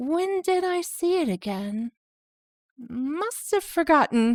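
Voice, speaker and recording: Very wide pitch swings run through this put-on character voice, delivered at a fairly slow pace. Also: woman, high pitch for a woman. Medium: read story. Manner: breezy, lightly teasing.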